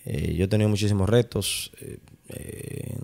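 A normal speaking voice at a moderate pace on a very clean recording with a silent background. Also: man. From Dominican Republic, Santo Domingo. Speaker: architect and urban planning director. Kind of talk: interview. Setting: city hall office.

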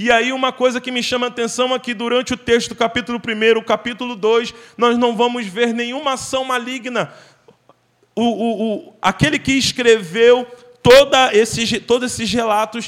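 A man's extremely high-pitched voice at a moderate pace, with fairly even intonation. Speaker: guest preacher. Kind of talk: sermon. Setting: church. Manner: fervent, exhortative preaching, pleading directly with the congregation.

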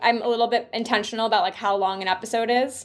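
This is a woman with a fairly high pitch. Her pitch varies in an ordinary way. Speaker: journalist and podcast host. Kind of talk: casual interview chat. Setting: remote call. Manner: fast; animated.

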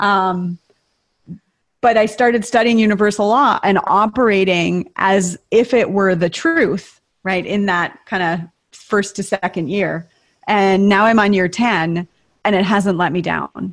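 In an American accent, a woman talks in an ordinary speaking voice at medium pitch with ordinary pitch variation, on a very clean recording with a silent background. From US Midwest (northern Minnesota). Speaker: retreat leader and coach. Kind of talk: casual interview.

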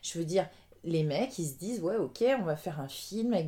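Fairly low in pitch, a woman's voice has a dark, mellow tone and ordinary pitch variation. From France. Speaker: dancer. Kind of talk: casual chat.

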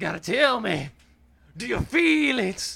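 A man projects a raised, high-pitched put-on character voice at a fairly slow pace. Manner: exhorting, call-and-response.

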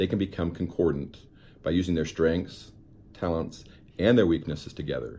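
Speaking at a moderate pace with long, frequent pauses, a man with an American accent has a very deep, low pitch and a dark, mellow tone. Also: fairly even intonation. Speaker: podcast host, motivational speaker. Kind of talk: motivational monologue. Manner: earnest, instructive.

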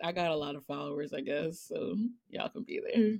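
This woman's voice is an unremarkable speaking voice, fairly low in pitch. She talks at a fairly quick pace. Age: 30s. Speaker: writer. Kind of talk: casual chat.

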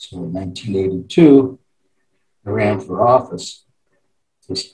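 A man speaking with music in the background. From Wyoming (Cheyenne). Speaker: former state senator, judge. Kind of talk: interview.

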